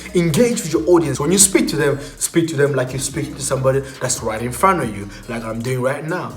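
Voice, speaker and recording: Over music in the background, a man talks with hardly any pauses in an animated tone, with lively intonation and a fairly high pitch. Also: fairly quick pace, big swings in loudness. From South Africa. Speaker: YouTuber. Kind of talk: tutorial.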